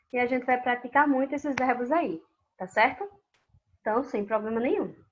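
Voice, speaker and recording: With a northeastern Brazilian accent, a woman speaks at a moderate pace in a high pitch with ordinary variation. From Brazilian Northeast, Paraíba. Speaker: Spanish teacher. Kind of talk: online class lecture. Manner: casual, conversational.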